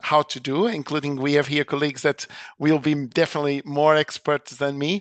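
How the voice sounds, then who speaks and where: Recorded with a dry, close sound, no echo and a quiet background, a man talks at a moderate pace. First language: not English (fourth language). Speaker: nursing lecturer. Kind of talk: seminar talk.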